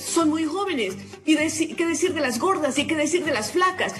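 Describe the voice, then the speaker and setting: A woman's high-pitched voice with audible room echo and music in the background. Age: 60s. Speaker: former politician and educator. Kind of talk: panel discussion. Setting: studio.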